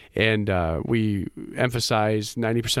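On a very clean recording with a silent background, a man with an American accent has an unremarkable speaking voice, fairly low in pitch with ordinary pitch variation. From Michigan, US Midwest. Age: 30s. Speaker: small business owner, electrical contractor. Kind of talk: radio interview.

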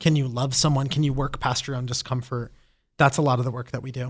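Somewhat breathy, a man speaks at medium pitch in a monotone, flat intonation. The recording is very clean, with a silent background. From Brazil-born, raised in the US from age four. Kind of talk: interview conversation.

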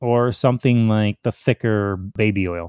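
Against a quiet background, a man uses an ordinary speaking voice, fairly low in pitch with ordinary pitch variation, in a dry, close recording with no echo. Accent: American. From US Midwest, Chicago area. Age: 40s. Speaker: crossdresser, military veteran. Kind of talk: casual interview.

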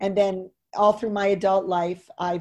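A woman with an American accent speaks at a moderate pace and medium pitch, her tone dark and mellow over a quiet background. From US West Coast. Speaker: professor. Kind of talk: interview about education and pandemic.

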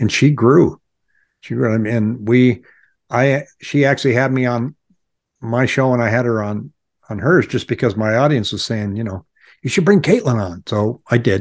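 An unremarkable speaking voice from a man, medium in pitch, at a moderate pace with ordinary pitch variation against a quiet background. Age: 60s. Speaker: real estate agent and YouTuber. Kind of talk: casual interview.

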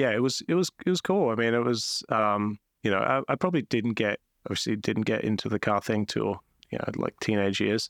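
With an Australian accent, a man talks at a fairly quick pace in a medium pitch with ordinary pitch variation and very even loudness, on a very clean recording with a silent background and a dry, close sound with no echo. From South Australia, Adelaide. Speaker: entrepreneur. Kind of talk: interview conversation.

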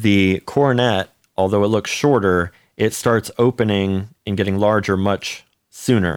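This man has an unremarkable speaking voice with a fairly low pitch and fairly even intonation, at a fairly slow pace. His loudness stays very even, and the sound is dry and close with no echo. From US (Cleveland and Charlotte, North Carolina). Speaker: orchestral trumpet player. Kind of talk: casual interview.

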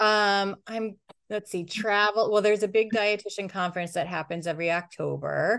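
A woman with an American accent speaks in a plain, everyday voice at medium pitch and a moderate pace against a quiet background. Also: fairly even intonation. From upstate New York. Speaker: chef and dietitian. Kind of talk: interview answers.

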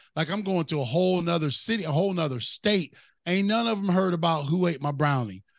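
The man's voice is high-pitched, with ordinary pitch variation. He talks very fast at a very even loudness. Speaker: motivational speaker. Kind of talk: casual interview chat.

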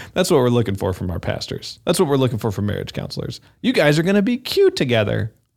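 A man's medium-pitched voice with vocal fry, very wide pitch swings, a very fast pace and hardly any pauses. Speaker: podcast host. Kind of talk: scripted intro then casual chat.

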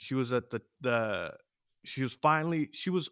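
In a very clean recording with a silent background and a dry, close sound with no echo, a man speaks at a moderate pace with an American accent. He has a normal speaking voice, medium pitch and ordinary pitch variation. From US West Coast, East Side San Jose, California. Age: 30s. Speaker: amateur MMA fighter and podcaster. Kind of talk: casual interview chat.

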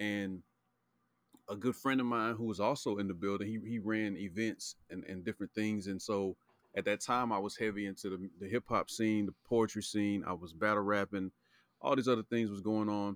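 A man with an American accent speaks at a moderate pace in a fairly low pitch, with fairly even intonation and an ordinary speaking voice. The recording is very clean with a silent background and a dry, close sound with no echo. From Charlotte, North Carolina. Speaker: podcast guest. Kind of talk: casual chat.

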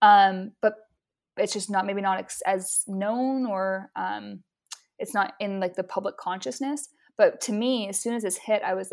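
Over a silent background in a very clean recording, a woman with an unremarkable speaking voice talks at a moderate pace with fairly even intonation. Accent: American. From Utah. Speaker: photographer and marketing strategist. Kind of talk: interview conversation.

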